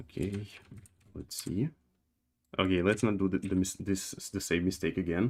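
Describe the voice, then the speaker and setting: A man with a non-native accent speaks at a very deep, low pitch. His intonation is fairly even, with long, frequent pauses. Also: moderate pace. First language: not English. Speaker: game developer streamer. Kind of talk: live coding stream. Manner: halting, many fillers and repetitions.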